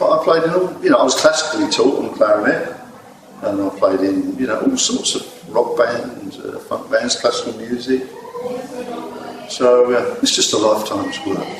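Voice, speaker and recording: A man talks at a moderate pace, with noticeable background noise and audible room echo. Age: 60s. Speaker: jazz saxophone player. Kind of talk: interview. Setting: venue before a gig.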